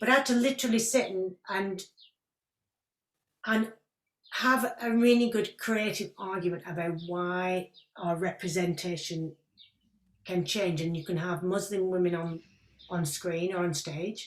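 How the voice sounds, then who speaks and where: With a strong northern English accent, a woman speaks with ordinary pitch variation and long, frequent pauses. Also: medium pitch for a woman. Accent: thick northern English. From northern England. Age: 50s. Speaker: actress. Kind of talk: interview Q&A. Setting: video call. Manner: animated.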